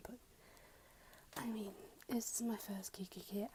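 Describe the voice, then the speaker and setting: A soft-spoken whisper at a moderate pace. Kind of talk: ASMR unboxing, casual talk to camera. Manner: soft-spoken, whispered.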